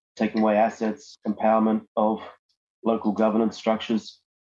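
Fairly quick and flat, a man speaks in a monotone at a fairly low pitch with a dark, mellow tone. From Mornington Island, Queensland. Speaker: First Nations media worker and journalist. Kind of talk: online forum talk.

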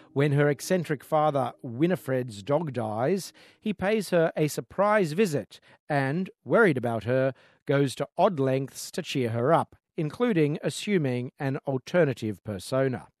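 With a quiet background and a dry, close sound with no echo, a man in an unremarkable speaking voice talks at a fairly high pitch and fairly slow pace with lively intonation. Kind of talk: radio host patter: polished film-review segment with signposting intros. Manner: warm, fluent and upbeat; brisk, clearly enunciated broadcaster delivery with wry asides.

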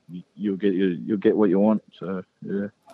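With a New Zealand accent, a man speaks at a moderate pace in a fairly low pitch with monotone, flat intonation. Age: 20s. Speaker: professional rugby league player. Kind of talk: interview. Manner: halting.

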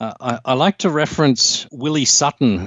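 Fairly even intonation marks this man's speech in an Australian accent. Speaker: infectious disease doctor. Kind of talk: interview. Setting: remote call. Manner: halting.

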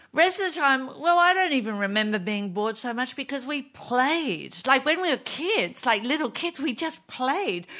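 A woman with an Australian accent speaks at a moderate pace in a raised, projected voice. Her pitch is high, her tone bright and sharp, and her pitch swings very widely. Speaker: comedian panelist.

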